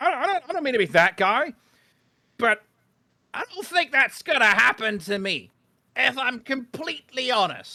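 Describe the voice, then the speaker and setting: A man projects a raised voice at an extremely high pitch, bright and sharp in tone. Very wide pitch swings are split by long, frequent pauses. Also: moderate pace. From Britain. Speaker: YouTuber guest on a livestream. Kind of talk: casual chat. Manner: animated.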